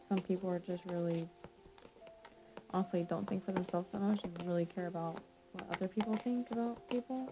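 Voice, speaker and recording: Over music in the background, a woman speaks quietly at a fairly quick pace with a medium pitch and ordinary pitch variation, leaving long, frequent pauses. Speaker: tarot reader. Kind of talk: tarot reading. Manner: quiet, subdued.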